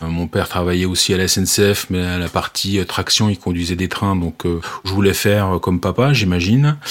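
Barely pausing, a man talks in a very deep, low voice. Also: ordinary pitch variation, moderate pace. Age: 40s. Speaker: railway safety manager. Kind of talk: interview. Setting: remote call. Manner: halting, many fillers.

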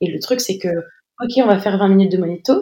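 Her intonation is lively, and this woman's voice carries a dark, mellow tone. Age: 20s. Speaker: new mother sharing birth story. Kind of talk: testimony. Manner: halting, many repetitions and fillers.

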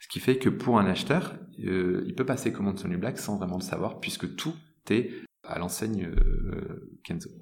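A man's fairly low voice at a moderate pace, lively in intonation, with big swings in loudness and audible room echo. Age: 30s. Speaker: tech company director. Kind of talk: interview. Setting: office.

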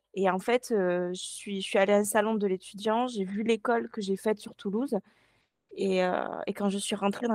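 A woman at medium pitch with fairly even intonation and a moderate pace, on a very clean recording with a silent background. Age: 20s. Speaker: sewing pattern designer. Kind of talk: casual interview.

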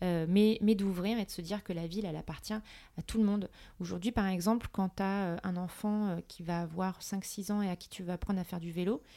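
Her voice has a dark, mellow tone at a medium pitch, with fairly even intonation and a fairly quick pace. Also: very clean recording, silent background. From Paris, France. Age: 30s. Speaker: entrepreneur. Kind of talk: casual interview.

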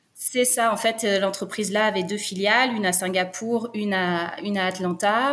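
Here is a normal speaking voice. The pitch shifts in an ordinary way. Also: woman. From France (Brittany). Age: 30s. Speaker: nurse and expatriate. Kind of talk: interview, personal story.

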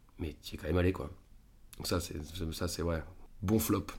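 A man with a very deep, low pitch speaks somewhat breathily at a fairly quick pace. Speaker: film actor. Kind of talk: casual interview. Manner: fast.

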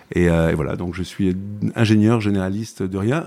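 Recorded very cleanly against a silent background, a man speaks fairly slowly in a fairly low, dark, mellow voice with ordinary pitch variation. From southern France, Provence. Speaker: tech entrepreneur. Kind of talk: interview conversation. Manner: halting, many repetitions.

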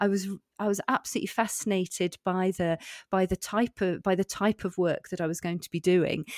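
A fairly quick speaker with a British accent uses ordinary pitch variation. The recording is very clean and dry, close, with no echo and a silent background. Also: woman. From UK. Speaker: executive coach and former teacher. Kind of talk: interview. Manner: halting, many repetitions.

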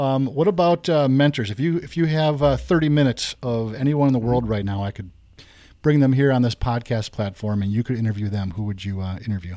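A man with a dark, mellow tone and medium pitch talks at a fairly quick pace with lively intonation in a very clean recording with a silent background. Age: 50s. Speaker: podcast host, realtor. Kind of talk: casual chat.

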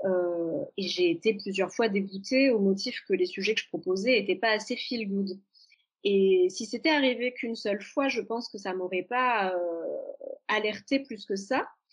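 Using an ordinary speaking voice, a woman talks at medium pitch and a fairly slow pace with ordinary pitch variation. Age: 30s. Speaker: journalist and author. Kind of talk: casual interview chat.

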